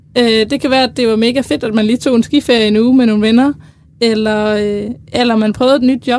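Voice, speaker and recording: She has a plain, everyday voice, pitched fairly high for a woman. Her pace is fairly quick and her intonation fairly even. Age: 20s. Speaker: university student. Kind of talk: casual chat. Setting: studio.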